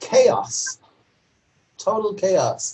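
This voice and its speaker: This man's voice is somewhat breathy. He talks with an American accent. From New York City. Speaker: novelist. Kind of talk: lecture Q&A.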